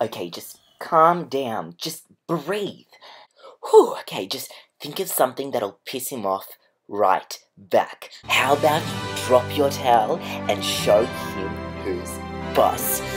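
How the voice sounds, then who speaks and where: Over clear music in the background, a man speaks at a very slow pace with long, frequent pauses. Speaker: comedy vlogger. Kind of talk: comedic sketch monologue. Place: home room. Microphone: phone near.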